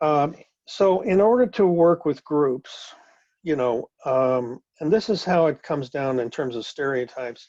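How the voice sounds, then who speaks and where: Fairly high-pitched man with a dark, mellow tone, lively intonation, and a fairly slow pace. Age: 70s. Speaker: instructor leading a class session. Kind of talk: lecture. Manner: halting, many fillers and repeated words.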